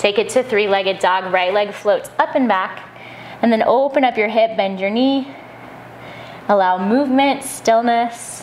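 A woman speaks at a fairly slow pace with ordinary pitch variation. Light background noise can be heard. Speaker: yoga instructor. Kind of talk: guided yoga class with breath cues. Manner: rhythmic breath-paced cueing, short commands; calm, gentle and encouraging. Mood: calm, soothing. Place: home room.

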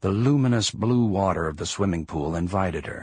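Over a quiet background, a somewhat breathy man talks at a moderate pace. His intonation is lively. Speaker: audiobook narrator. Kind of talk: audiobook narration.

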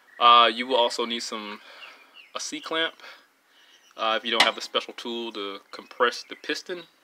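Speech comes at a fairly slow pace. Noticeable background noise is present. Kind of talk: tutorial. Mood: relaxed, casual. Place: garage.

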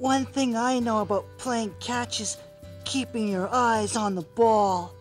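A cartoonish character voice speaks over clear music in the background. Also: fairly slow pace. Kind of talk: children's TV puppet. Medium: puppet show. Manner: bubbly, enthusiastic. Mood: helpful.

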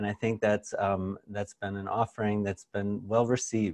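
Over a quiet background, the speaker keeps a moderate pace. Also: man. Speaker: webinar host. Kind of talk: webinar presentation. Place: office. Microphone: lapel.

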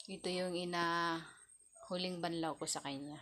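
A monotone voice with flat intonation, captured in a very clean recording against a silent background. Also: woman. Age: 30s. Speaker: vlogger. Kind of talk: casual vlog talk. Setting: kitchen at home.

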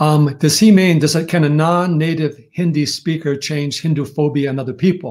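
A man with an American accent speaks in a fairly high voice, somewhat breathy, with fairly even intonation. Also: moderate pace. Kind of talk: interview. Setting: video call. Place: home room.

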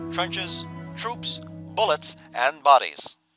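Over background music, a man speaks in a dramatic tone at medium pitch, his pitch swinging very widely. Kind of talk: newsreel-style narration for a video game. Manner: dramatic, authoritative.

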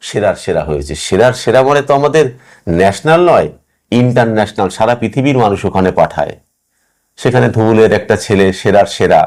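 A man with an ordinary speaking voice at a medium pitch, his intonation lively, on a very clean recording with a silent background. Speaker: writer. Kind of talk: interview.

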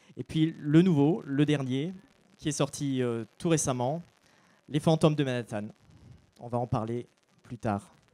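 The tone is dark and mellow, with ordinary pitch variation. The speech moves at a fairly slow pace with long, frequent pauses. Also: man. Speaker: book blogger, panel moderator. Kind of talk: panel moderation at book fair. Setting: stage with audience. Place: stage. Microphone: handheld.

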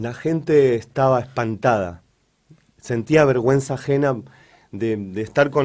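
A man's medium-pitched voice at a fairly slow pace. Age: 40s. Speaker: local resident, victim of harassment. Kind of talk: testimony. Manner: halting.

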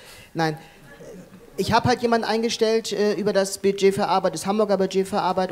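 This is a man speaking. His pace is fairly quick. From Hamburg, northern Germany; Germany. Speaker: accessibility consultant and dancer; company managing director on panel. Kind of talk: panel discussion; panel discussion answer. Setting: conference hall with audience. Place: hall. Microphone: handheld.

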